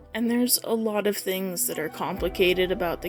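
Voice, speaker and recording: With music playing behind her, the woman talks at a medium pitch, her pitch variation ordinary. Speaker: watercolor artist. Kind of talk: personal voiceover while painting.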